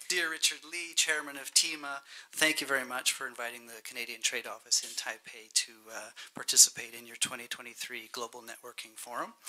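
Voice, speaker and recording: In a hoarse, put-on character voice, a man speaks at medium pitch and a fairly quick pace. His pitch variation is ordinary, while his loudness swings widely. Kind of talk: formal speech.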